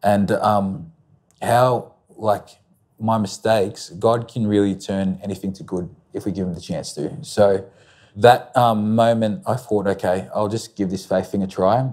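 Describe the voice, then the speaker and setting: In an Australian accent, a man speaks at a fairly slow pace and fairly low pitch with ordinary pitch variation against a quiet background. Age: 20s. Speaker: interview guest. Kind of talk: testimony. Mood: reflective, personal story. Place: studio. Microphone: lapel.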